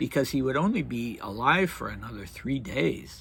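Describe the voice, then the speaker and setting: A man talks fairly slowly, with vocal fry in his voice. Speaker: history channel host. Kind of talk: casual history commentary. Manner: halting.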